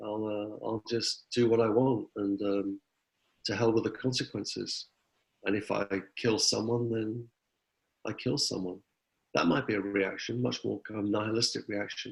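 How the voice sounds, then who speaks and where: Speaking with an English accent, a man uses a fairly low pitch and fairly even intonation at a moderate pace, with long, frequent pauses. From England. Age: 60s. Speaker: philosophy professor. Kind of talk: interview.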